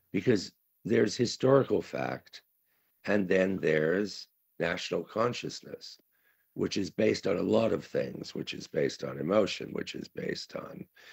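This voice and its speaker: Recorded dry and close with no echo, a man with a fairly low pitch talks at a moderate pace, his voice making very wide pitch swings. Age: 70s. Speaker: conference speaker, writer. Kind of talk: conference talk. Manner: halting, many fillers.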